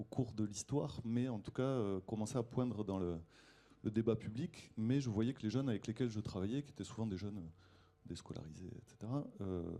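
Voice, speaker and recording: With a Toulouse accent, a man speaks at a moderate pace and a fairly low pitch. His tone is dark and mellow, with ordinary pitch variation. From southwest France, Toulouse. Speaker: foundation founder, educator. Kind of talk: panel discussion.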